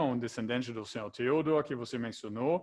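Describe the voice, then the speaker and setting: A man with a German accent. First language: German (speaking Portuguese). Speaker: event moderator. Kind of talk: moderating an online Q&A.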